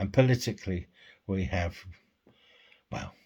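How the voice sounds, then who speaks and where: A man with a British accent and a very deep, low pitch speaks at a moderate pace, somewhat breathy and with ordinary pitch variation, on a very clean recording with a silent background. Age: 60s. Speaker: vlogger. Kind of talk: personal vlog monologue.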